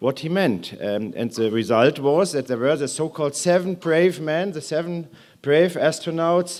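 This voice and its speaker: With a German accent, a man talks at a fairly slow pace in a fairly high pitch and lively intonation, captured on a very clean recording with a silent background. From Germany. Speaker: aerospace executive. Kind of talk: conference speech. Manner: hesitant with fillers.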